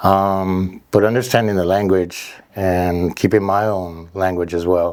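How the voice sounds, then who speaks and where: A man with a Spanish accent and a very deep, low pitch, flat and monotone at a fairly slow pace, on a very clean recording with a silent background. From Mexico, then Downey, California from about age 12. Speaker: fitness trainer and gym owner. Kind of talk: podcast interview.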